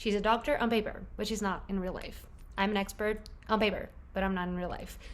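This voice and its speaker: There is audible room echo as a woman talks at a very fast pace. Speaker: book vlogger. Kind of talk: casual vlog chat. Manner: animated.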